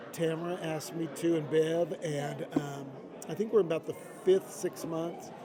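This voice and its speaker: A man with an American accent speaks at a fairly high pitch and a moderate pace. His intonation is fairly even, and there is noticeable background noise. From Idaho, US. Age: 60s. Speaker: music industry executive. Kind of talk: interview. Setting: live at a convention.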